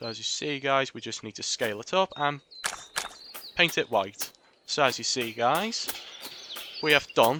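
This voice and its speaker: A man with a fairly high voice speaks with lively intonation. He leaves long, frequent pauses over noticeable background noise. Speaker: gaming video creator. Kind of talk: tutorial. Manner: casual, filler-heavy narration.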